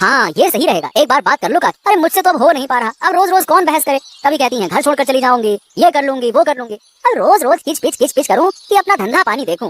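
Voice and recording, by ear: A cartoonish character voice pitched high races along at a very fast pace. It barely stops for any pauses.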